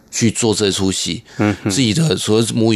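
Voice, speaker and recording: With ordinary pitch variation, a man talks at a fairly low pitch. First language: Hakka (speaking Chinese). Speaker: glove puppetry troupe director. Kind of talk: interview.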